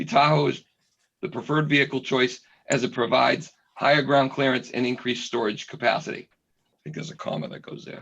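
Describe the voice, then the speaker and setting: A man puts on a hoarse character voice at a medium pitch. He moves at a fairly quick pace with big swings in loudness. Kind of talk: reading aloud, dictating text.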